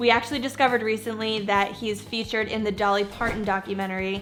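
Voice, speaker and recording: A woman with a fairly high pitch talks at a fairly quick pace. Music plays in the background. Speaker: YouTube host. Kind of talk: casual talk to camera.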